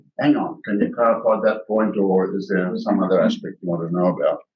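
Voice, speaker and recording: Moving at a fairly quick pace, a man talks with an Australian accent. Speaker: company executive, geologist. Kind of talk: investor presentation. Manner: fast.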